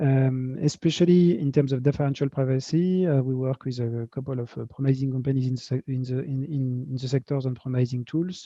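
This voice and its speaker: With a slight French accent, a man at medium pitch talks at a fairly quick pace. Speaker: tech company founder and CEO. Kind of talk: interview at virtual fireside chat. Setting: video call. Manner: halting, many fillers and repetitions.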